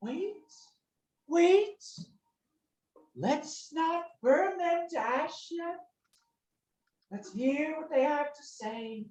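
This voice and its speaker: In a put-on character voice with a high pitch, the speaker goes at a very slow pace with long, frequent pauses. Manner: pleading, cautious.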